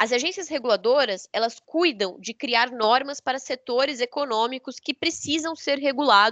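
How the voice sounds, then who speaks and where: Speaking at a moderate pace with hardly any pauses, a woman uses a high pitch with ordinary pitch variation. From southern Brazil. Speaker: energy sector consultant and lawyer. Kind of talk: lecture.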